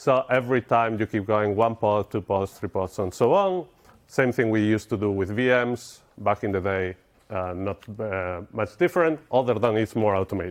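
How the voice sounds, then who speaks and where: A man with a Spanish accent speaks at a moderate pace in a fairly low pitch with ordinary pitch variation. The sound is dry and close with no echo, and the background is quiet. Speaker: software engineer, conference speaker. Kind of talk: conference talk. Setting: stage with audience.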